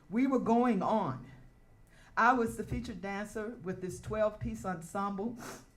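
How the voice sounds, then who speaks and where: With an American accent and lively intonation, a woman speaks amid audible room echo. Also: medium pitch for a woman, moderate pace. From US South, Atlanta, Georgia. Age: 70s. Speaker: dancer and performer, award honoree. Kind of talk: spoken word performance and personal testimony.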